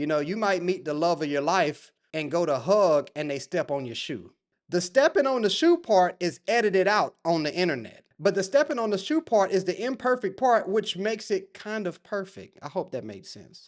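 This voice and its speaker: Speaking at a moderate pace with hardly any pauses, a man uses a high pitch, very wide pitch swings and an animated tone on a very clean recording with a silent background. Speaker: podcast host. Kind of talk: casual monologue. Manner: stutters.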